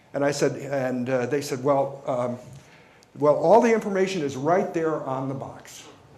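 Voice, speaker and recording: A fairly high-pitched man's voice with an American accent and lively intonation, heard with audible room echo. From New York. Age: 60s. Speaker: company executive. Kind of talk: keynote speech. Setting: stage with audience.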